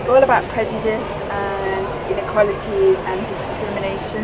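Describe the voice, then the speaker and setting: Loud background noise surrounds a woman's voice. She speaks at a moderate pace. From England. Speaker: vlogger. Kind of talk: casual vlog talk to camera. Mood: cheerful, chatty. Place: station. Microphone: phone near.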